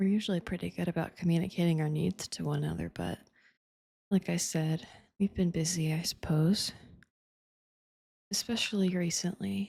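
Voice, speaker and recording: A gentle, dark, mellow tone, somewhat breathy, at a moderate pace. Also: woman. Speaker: ASMR performer. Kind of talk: intimate ASMR girlfriend roleplay. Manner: soft, gentle, intimate.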